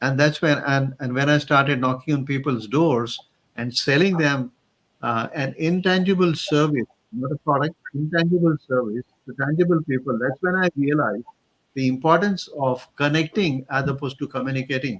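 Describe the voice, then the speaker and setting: With a Marathi accent, a man speaks at a moderate pace in a fairly high voice with ordinary pitch variation, the sound dry and close with no echo. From Maharashtra, India. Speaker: career coach. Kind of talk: interview.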